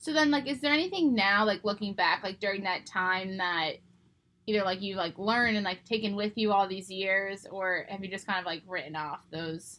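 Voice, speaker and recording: This woman has an American accent and a bright, sharp tone. She talks at a moderate pace with ordinary pitch variation. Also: medium pitch for a woman. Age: 20s. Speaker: podcast host. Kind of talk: casual chat.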